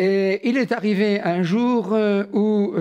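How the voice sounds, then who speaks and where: A man is speaking. The background is quiet. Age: 70s. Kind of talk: testimony. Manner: hesitant with frequent fillers.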